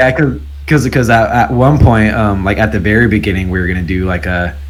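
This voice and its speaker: With very deep, low pitch and lively intonation, a man talks at a moderate pace amid noticeable background noise and audible room echo. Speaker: bassist in a pop punk band. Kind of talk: casual chat. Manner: halting, many fillers and repeats.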